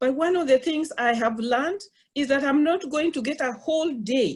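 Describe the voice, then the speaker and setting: Talking at a moderate pace with a non-native accent, a woman with a high pitch shows ordinary pitch variation. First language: not English. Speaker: college professor. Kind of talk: webinar panel talk. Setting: online webinar. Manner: halting.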